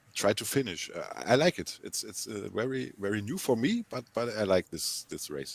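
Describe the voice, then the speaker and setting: This voice has vocal fry, a moderate pace and lively intonation. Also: man, medium pitch for a man. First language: not English. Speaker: racing team driver in a game race. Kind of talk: post-race interview. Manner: halting, repeats words.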